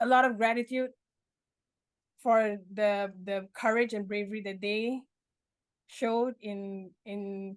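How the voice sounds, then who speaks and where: In a fairly high voice, a woman talks with monotone, flat intonation. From Malaysia. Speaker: memoir author, mental health advocate. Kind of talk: interview answer.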